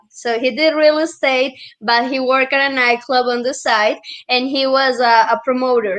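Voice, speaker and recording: Against a quiet background, a woman with a Colombian accent and a high pitch speaks at a moderate pace with fairly even intonation. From Colombia (Medellin). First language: Spanish. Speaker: real estate and Airbnb entrepreneur. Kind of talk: storytelling in casual interview.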